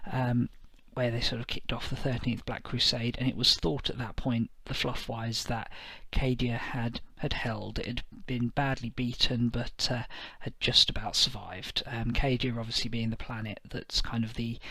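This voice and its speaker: A quiet man's voice at medium pitch, bright and sharp in tone, monotone and flat, at a moderate pace. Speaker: tabletop wargaming youtuber. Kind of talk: casual review monologue. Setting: at home at night. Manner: quiet, keeping voice down; hesitant, many fillers. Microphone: may sound quiet.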